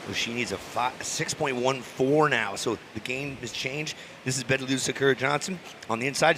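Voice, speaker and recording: The pitch rises and falls in an ordinary way, with noticeable background noise behind the voice. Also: man. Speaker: surf contest announcer. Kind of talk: live commentary.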